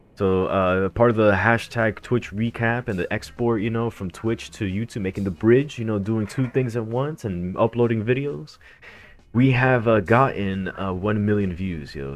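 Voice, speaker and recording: In a plain, everyday voice with an American accent, a man talks at a fairly low pitch and a moderate pace, his pitch varying in an ordinary way. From United States. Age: 30s. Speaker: gaming streamer and breakdancer. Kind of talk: live stream chat. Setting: live stream. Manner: casual, filler-heavy.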